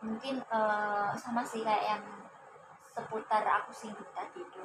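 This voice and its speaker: A woman talks in a fairly high register with noticeable background noise around her. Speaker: university student, counseling client. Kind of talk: counseling session role-play. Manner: hesitant, many fillers.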